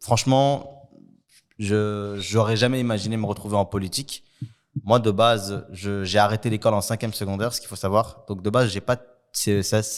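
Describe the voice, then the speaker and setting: A man talks in a plain, everyday voice, pitched fairly low. His pace is moderate and his intonation fairly even. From Brussels, Belgium (Saint-Gilles). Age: 20s. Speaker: youth worker and political candidate. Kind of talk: interview.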